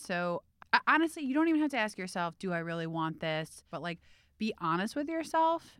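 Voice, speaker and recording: On a very clean recording with a silent background and a dry, close sound with no echo, a woman with a plain, everyday voice speaks at a fairly quick pace with a fairly low pitch and lively intonation. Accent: American. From US Midwest, Cleveland. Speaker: beauty editor. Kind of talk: casual chat.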